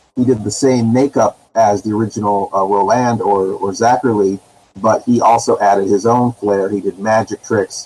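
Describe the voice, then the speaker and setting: With an American accent, a man speaks in a dark, mellow tone at a medium pitch, a moderate pace and fairly even intonation. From Northern California. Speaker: horror host. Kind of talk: casual chat.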